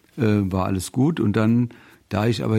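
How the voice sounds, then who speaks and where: Delivered at a moderate pace, an ordinary speaking voice keeps a fairly even intonation. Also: man. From Rheinhessen, Germany. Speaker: radio volunteer. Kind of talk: testimony.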